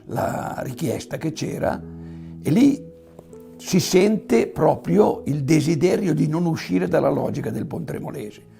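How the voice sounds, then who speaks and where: This man has a fairly high pitch. He talks at a fairly slow pace. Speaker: farmer, beekeeper and local historian. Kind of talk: interview answer.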